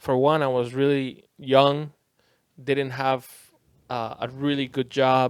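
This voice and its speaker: In a Spanish accent, a man with a medium-pitched voice speaks very slowly and in a flat monotone, with long, frequent pauses. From Costa Rica. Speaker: DJ. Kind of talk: casual chat.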